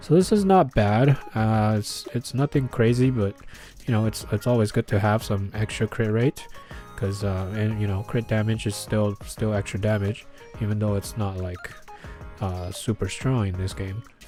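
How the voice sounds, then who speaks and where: Music plays in the background as a man with a fairly low pitch speaks. His pace is moderate and his intonation fairly even. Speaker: gaming youtuber. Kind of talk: game character analysis. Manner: many filler words, hesitant.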